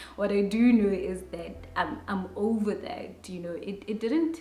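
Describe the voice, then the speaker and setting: With a South African accent, a woman speaks at a very slow pace in a medium pitch, using lively intonation. Noticeable background noise and audible room echo surround her voice. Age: adult. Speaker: YouTuber. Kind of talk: personal vlog monologue.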